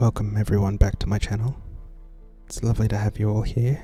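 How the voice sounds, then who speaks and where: Soft-spoken and fairly low-pitched, a man talks over music in the background. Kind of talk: soft-spoken ASMR gaming commentary.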